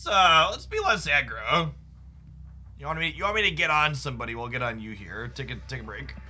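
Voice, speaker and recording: A man speaking at a fairly quick pace with big swings in loudness, over music in the background and audible room echo. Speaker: streamer, card game content creator. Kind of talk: casual live-stream chat while gaming. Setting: live stream. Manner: sounds mad or upset to listeners, though he isn't.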